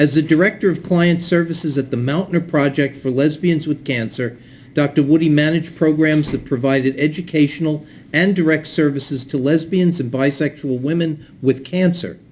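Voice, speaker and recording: Here is a man with an ordinary speaking voice and fairly high pitch. His pace is moderate. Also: fairly even intonation. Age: 60s. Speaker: event moderator. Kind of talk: speaker introduction at community event.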